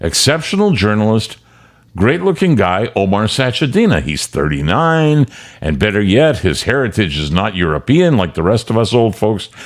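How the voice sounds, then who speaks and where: Speaking at a fairly slow pace, a man lets his voice move through very wide pitch swings. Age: 70s. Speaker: commentary show host, veteran broadcaster. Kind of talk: opinion commentary monologue.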